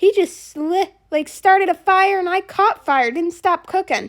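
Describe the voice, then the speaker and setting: A woman's put-on character voice, squeaky and extremely high, at a moderate pace with ordinary pitch variation and a dry, close sound with no echo. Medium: machinima.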